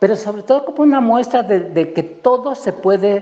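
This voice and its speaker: Someone speaks with a Mexican accent at a fairly slow pace. Noticeable background noise is present. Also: man. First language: Nahuatl (speaking Spanish). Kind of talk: panel talk. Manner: halting, many repetitions.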